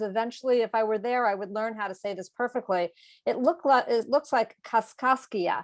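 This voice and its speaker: A woman with an American accent and a normal speaking voice talks at a moderate pace in a fairly high pitch, with ordinary pitch variation. The recording is very clean with a silent background, and the sound is dry and close with no echo. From Massachusetts, US. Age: 60s. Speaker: author and educator. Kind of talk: moderated conversation.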